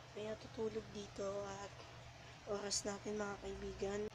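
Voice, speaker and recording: A woman speaks quietly, with audible room echo and noticeable background noise. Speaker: vlogger. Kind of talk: casual vlog. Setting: at home at night, others sleeping. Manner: halting, repetitive; hushed, speaking quietly.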